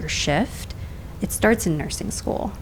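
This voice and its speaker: Background noise is noticeable throughout. A woman talks over it. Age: 40s. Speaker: nurse and entrepreneur. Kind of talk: casual podcast interview. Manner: animated.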